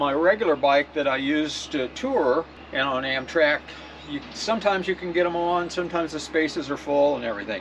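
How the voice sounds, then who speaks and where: Noticeable background noise surrounds a man with a fairly high pitch who speaks with an American accent and lively intonation. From US Midwest (Nebraska). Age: 70s. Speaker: cycling vlogger. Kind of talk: tutorial. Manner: casual, halting.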